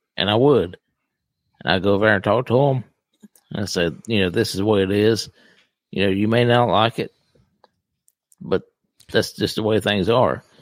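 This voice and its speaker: The speaker uses ordinary pitch variation at a moderate pace. Long, frequent pauses break up the speech. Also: man, fairly low pitch for a man. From US South. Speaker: podcast host, retired law enforcement officer.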